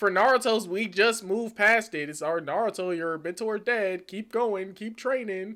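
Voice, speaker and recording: The speech goes at a moderate pace with hardly any pauses. The recording is very clean, with a silent background. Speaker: anime debate podcast host. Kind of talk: casual debate. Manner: loud; animated.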